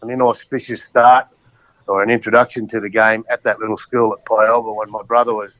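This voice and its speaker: Here a man with an Australian accent speaks at a fairly quick pace. His medium-pitched voice has a monotone, flat intonation. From Queensland, Australia. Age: 60s. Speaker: former rugby league player. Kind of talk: casual interview chat.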